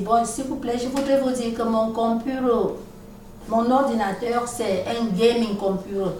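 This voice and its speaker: Ordinary pitch variation, with audible room echo and noticeable background noise. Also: woman. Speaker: vlogger. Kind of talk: video monologue. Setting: at home, recording video.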